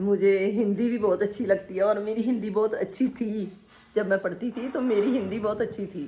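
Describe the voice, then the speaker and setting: Speaking in a Punjabi accent, a woman keeps a medium pitch and fairly even intonation. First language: Punjabi (speaking Hindi). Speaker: vlogger. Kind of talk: casual vlog talk. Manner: halting, with many fillers.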